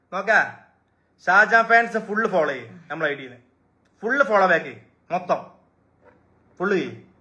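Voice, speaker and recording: Raised and projected, a man's high-pitched voice sounds bright and sharp, with an animated tone, lively intonation and big swings in loudness. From Malappuram, Kerala. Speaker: social media live streamer, shop owner. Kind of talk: live stream talk to fans. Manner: animated, repetitive.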